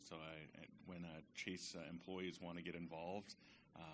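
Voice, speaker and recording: With an American accent, a man talks at a fairly quick pace in a bright, sharp tone, and the room echo is audible. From central California, small town. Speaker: bank community manager. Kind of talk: self-introduction at business networking event. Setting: stage with audience. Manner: unprepared, casual.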